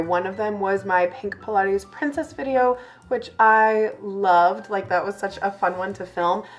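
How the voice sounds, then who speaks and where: Noticeable background noise sits behind a woman speaking. She talks at a fairly slow pace with ordinary pitch variation. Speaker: lifestyle YouTuber. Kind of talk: chatty get-ready-with-me vlog. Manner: casual, filler-heavy.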